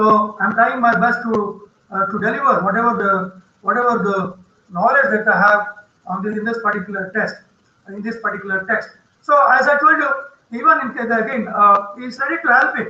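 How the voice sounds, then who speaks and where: A raised, projected voice at a moderate pace, with audible room echo. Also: man, high pitch for a man, ordinary pitch variation. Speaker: university lecturer. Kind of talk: online lecture. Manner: loud; repetitive, halting.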